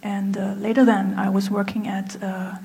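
A woman with a medium pitch speaks at a fairly slow pace, with audible room echo and noticeable background noise. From Germany. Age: 30s. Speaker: apparel designer. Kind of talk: speech. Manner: halting.

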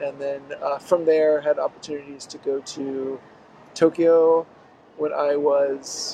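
With an American accent, a man speaks very slowly in a flat monotone at a fairly high pitch, his loudness swinging widely between long, frequent pauses over noticeable background noise. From US Deep South (Mississippi, Pensacola, Florida). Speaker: author. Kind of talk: interview. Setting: in person in Tokyo.

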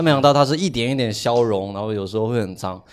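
A very fast pace over noticeable background noise. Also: man. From Guangdong, China. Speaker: podcast co-host. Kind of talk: casual chat.

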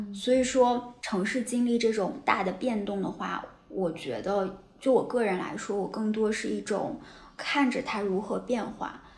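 A woman at a fairly slow pace, fairly high in pitch with ordinary pitch variation, in audible room echo. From Taiyuan, Shanxi, northern China. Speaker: writer and city observer, host's colleague. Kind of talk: casual chat.

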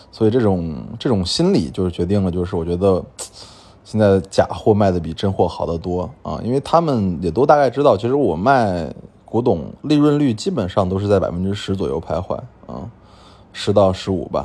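A man speaks with a fairly low pitch. His pitch swings very widely. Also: moderate pace. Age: 30s. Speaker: antique dealer and podcast host. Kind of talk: storytelling monologue. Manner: frequent fillers and hesitations.

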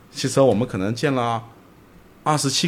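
At a fairly quick pace, a man speaks in a plain, everyday voice at medium pitch with ordinary pitch variation. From Zhejiang, China. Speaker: entrepreneur, company executive director. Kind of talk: casual interview conversation. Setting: late-night recording.

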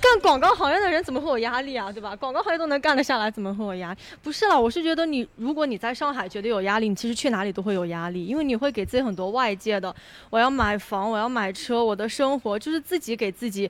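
Talking at a very fast pace, a woman uses lively intonation and a fairly high pitch. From Kunming, Yunnan. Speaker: advertising worker. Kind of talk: casual group chat.

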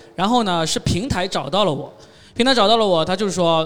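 A man's very fast, high-pitched speech with lively intonation and noticeable background noise. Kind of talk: panel discussion.

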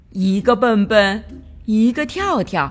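The voice reads in an unforced way. It carries the text without strain.

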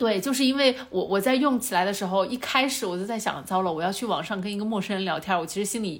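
A woman's very fast delivery with hardly any pauses, plus audible room echo. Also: medium pitch for a woman, ordinary pitch variation. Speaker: podcast host. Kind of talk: casual chat.

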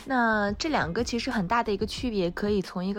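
A woman talks fairly quickly with ordinary pitch variation while noticeable background noise carries on. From Australia, Melbourne. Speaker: broadcast host and graduate student. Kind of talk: casual interview.

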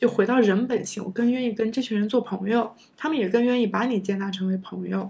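Talking at a very fast pace, a woman with a fairly high pitch sounds somewhat breathy and shows ordinary pitch variation. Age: 30s. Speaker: former PhD student. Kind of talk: casual interview chat.

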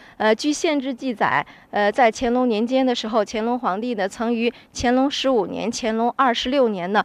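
Delivered at a moderate pace, the speech comes in a Hebei accent. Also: woman. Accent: authentic local Zhengding (Hebei). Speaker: local tour guide. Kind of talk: guided tour explanation.

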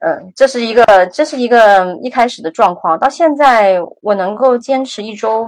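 In a plain, everyday voice, a woman talks at a moderate pace with lively intonation, big swings in loudness and hardly any pauses. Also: fairly high pitch for a woman. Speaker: graduate student and former tech worker. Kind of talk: interview conversation. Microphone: some noise and echo.

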